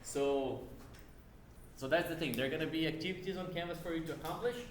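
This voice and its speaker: A man speaks at a very fast pace in a fairly high pitch, with a non-native accent. Audible room echo and noticeable background noise surround his voice. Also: ordinary pitch variation. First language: not English. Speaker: university lab instructor. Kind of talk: lecture. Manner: casual, conversational.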